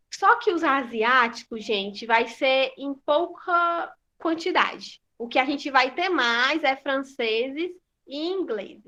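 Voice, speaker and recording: Against a quiet background, a woman speaks very slowly in a raised, projected voice with a bright, sharp tone, high pitch and lively intonation. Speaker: school teacher. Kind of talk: online class lesson.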